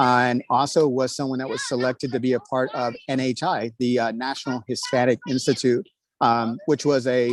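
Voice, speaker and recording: With an American accent and an unremarkable speaking voice, a man talks at a fairly quick pace and medium pitch, his intonation fairly even and the sound dry and close with no echo. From Texas, New Braunfels. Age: 30s. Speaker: school board candidate. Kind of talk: candidate speech at online meeting. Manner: many fillers (uh, um).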